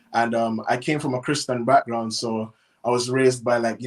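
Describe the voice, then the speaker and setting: Speaking fairly quickly in a Caribbean accent, a man holds a medium pitch with monotone, flat intonation. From Cayman Islands. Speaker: chef and food business owner. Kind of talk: interview.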